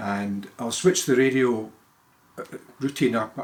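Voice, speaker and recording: Speaking at a moderate speed, a man talks with a Scottish accent. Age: 70s. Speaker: retired lawyer. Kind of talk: casual monologue. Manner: halting.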